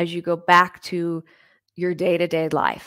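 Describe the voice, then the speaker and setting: A woman's fairly low-pitched voice in a soothing, calm tone. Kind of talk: guided meditation, visualization of expanding light. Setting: live online stream with comments. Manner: slow, soothing, calm and gentle.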